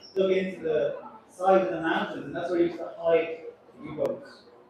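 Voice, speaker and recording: A man with an Irish accent speaks at a moderate pace with ordinary pitch variation. Audible room echo and noticeable background noise are present. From Ireland. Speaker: cruise ship captain. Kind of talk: onboard speech to passengers. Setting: ship deck event with audience. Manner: chatty and humorous.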